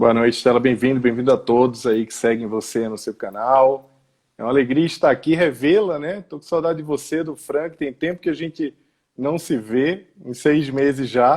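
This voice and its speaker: With a Pernambuco accent, the speaker talks at a moderate pace, showing ordinary pitch variation and big swings in loudness. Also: man. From Brazil, Pernambuco (Recife). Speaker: education executive and author. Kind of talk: live interview.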